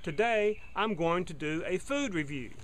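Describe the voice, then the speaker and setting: Light background noise sits behind a man with a bright, sharp tone. He speaks fairly slowly with lively intonation. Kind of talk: product review. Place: garden. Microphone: phone near.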